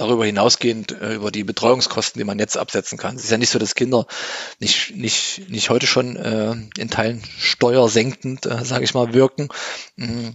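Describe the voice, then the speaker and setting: A man speaks at a medium pitch and a moderate pace. His intonation is fairly even. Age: 40s. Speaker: parenting blogger. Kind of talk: interview. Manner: hesitant, many filler sounds.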